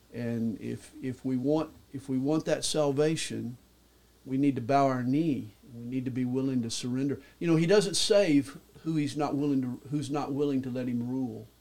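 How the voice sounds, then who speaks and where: A man's medium-pitched voice in a Southern US accent, at a moderate pace with ordinary pitch variation. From US South, Atlanta, Georgia. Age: 60s. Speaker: pastor. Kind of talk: testimony.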